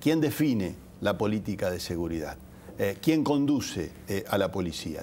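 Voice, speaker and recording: A man speaks at a moderate pace in a fairly low, dark, mellow voice. His pitch swings very widely, with light background noise behind him. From Argentina, Santa Fe province (Rafaela); Santa Fe province, Argentina. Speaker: politician, gubernatorial candidate; politician, candidate. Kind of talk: TV interview. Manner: frequent hesitations (eh) and repetitions. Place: studio.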